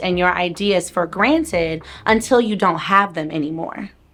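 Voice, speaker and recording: With music in the background, a woman speaks at a fairly slow pace in an energetic, upbeat tone. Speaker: business coach and money educator. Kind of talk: motivational talk to camera.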